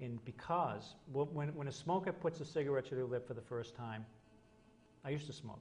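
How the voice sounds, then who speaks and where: Somewhat breathy and fairly high-pitched, a man speaks with ordinary pitch variation. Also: fairly quick pace. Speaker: hypnotist. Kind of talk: interview.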